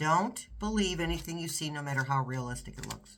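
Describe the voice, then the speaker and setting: A moderate pace with an American accent. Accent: New York accent, occasionally showing. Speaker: tarot reader. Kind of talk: tarot reading monologue. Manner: halting, with frequent restarts.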